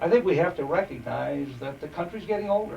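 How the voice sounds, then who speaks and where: Noticeable noise fills the background as a man talks at a moderate speed. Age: 60s. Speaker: park board commissioner. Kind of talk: interview. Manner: halting.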